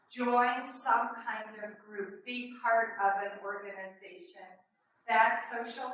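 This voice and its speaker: Speaking very slowly with an American accent, a woman with a fairly high voice is heard amid audible room echo. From New York City. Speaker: extension educator. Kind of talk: webinar presentation. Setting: webinar with small room audience. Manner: conversational, hesitant fillers.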